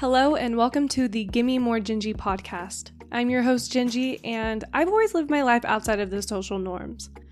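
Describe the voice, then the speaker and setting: Music plays in the background as a woman speaks at a fairly high pitch and a moderate pace with ordinary pitch variation. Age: 20s. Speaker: podcast host. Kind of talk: casual interview chat.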